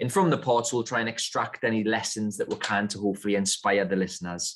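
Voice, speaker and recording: A man talks with a northern English accent. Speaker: podcast host. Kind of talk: interview podcast.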